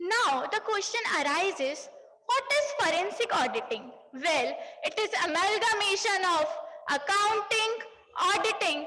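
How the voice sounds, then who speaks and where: Speaking with a raised, projected voice at an extremely high pitch, a woman swings her pitch very widely at a fairly slow pace, her loudness very even, with audible room echo and noticeable background noise. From Punjab, India. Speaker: CA student speaker. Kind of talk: conference speech. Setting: stage with audience. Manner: formal.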